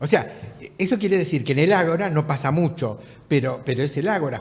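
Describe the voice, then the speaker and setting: A man speaks with a Rioplatense accent and very wide pitch swings. His voice comes across somewhat breathy. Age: 70s. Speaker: writer and former political prisoner. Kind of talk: casual chat. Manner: halting.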